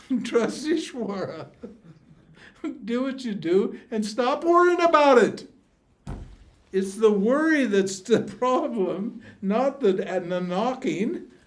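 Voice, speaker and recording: In a room with audible echo, a man with an extremely high pitch speaks very slowly with lively intonation and long, frequent pauses. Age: 80s+. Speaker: spiritual teacher. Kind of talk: teaching Q&A with students. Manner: animated.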